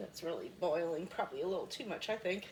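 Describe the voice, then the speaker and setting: The speaker is a woman. Her pitch moves up and down in an ordinary way. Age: 60s. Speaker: cooking product consultant. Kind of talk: cooking demonstration chat. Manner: casual, hesitant with fillers.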